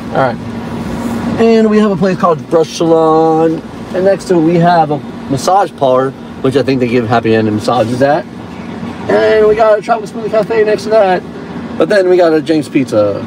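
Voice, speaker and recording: A man speaks at a high pitch with very wide pitch swings and a fairly quick pace, broken by long, frequent pauses. The sound is dry with no echo, with noticeable background noise. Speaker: mock tour guide. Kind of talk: mock tour-guide patter, casual ad-libbed commentary. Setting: in a car, parked near a shopping strip. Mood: joking, playful. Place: car. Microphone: phone near.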